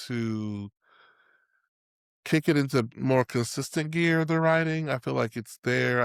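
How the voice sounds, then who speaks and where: A man's voice in dry, close sound with no echo, on a very clean recording with a silent background. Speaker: podcast co-host, playwright and theatre teacher. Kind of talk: casual chat. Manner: sometimes mumbled, rough diction.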